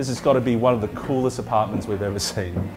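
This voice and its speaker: Music plays behind a man who speaks in an upbeat, enthusiastic tone. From Australia. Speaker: auctioneer. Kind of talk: real estate auction opening and property pitch.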